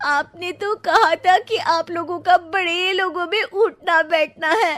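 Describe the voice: A slow-paced cartoonish character voice with a fairly bright tone and ordinary pitch variation. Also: woman, extremely high pitch for a woman, dry, close sound with no echo.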